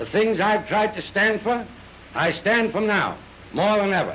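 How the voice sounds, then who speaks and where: An American accent at a moderate pace, with noticeable background noise. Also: man. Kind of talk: 1938 newsreel statement to camera.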